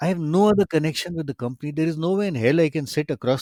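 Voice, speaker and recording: On a very clean recording with a silent background and a dry, close sound with no echo, a man with an Indian accent shows ordinary pitch variation. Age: 60s. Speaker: retired professor and angel investor. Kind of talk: interview conversation. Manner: animated.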